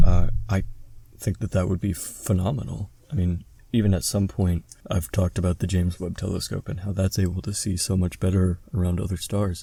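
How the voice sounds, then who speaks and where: This man's voice is very deep and low in pitch, with a dark, mellow tone. It also sounds somewhat breathy. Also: ordinary pitch variation. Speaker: podcast co-host. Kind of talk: casual podcast conversation. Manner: stutters when doing math aloud.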